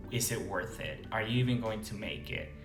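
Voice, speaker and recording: Over music in the background, a man with a medium pitch talks at a fairly slow pace. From Venezuela. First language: Spanish. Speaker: international medical graduate. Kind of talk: casual talk to camera.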